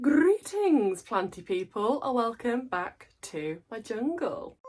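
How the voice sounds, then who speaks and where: A woman with an English accent, fairly high-pitched and very slow, her pitch swinging very widely over music in the background. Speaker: plant content creator. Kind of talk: casual vlog talk.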